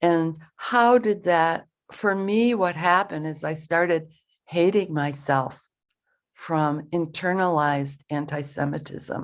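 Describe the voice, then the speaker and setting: In a very clean recording with a silent background, a woman with an American accent talks at a very slow pace, her fairly low pitch showing ordinary variation. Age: 70s. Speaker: Zen teacher. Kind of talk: dharma talk.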